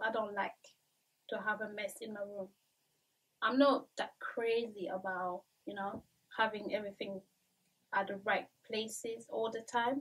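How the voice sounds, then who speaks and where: A woman speaks at a moderate pace with a French accent. Her voice is somewhat breathy, with long, frequent pauses. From Central African Republic and France, of Cameroonian family. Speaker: YouTuber. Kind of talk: vlog monologue. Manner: casual with frequent fillers. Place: home room.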